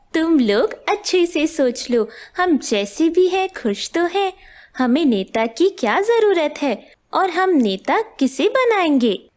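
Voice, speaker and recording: A cartoonish character voice swings very widely in pitch at a fairly slow pace. The recording is very clean, with a silent background. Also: female-sounding voice, extremely high pitch for a woman. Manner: calm, reasoning.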